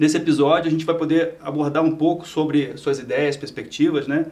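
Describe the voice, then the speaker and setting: A man does the talking. Noticeable noise runs in the background. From Rio de Janeiro, Brazil. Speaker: podcast host. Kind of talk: podcast interview.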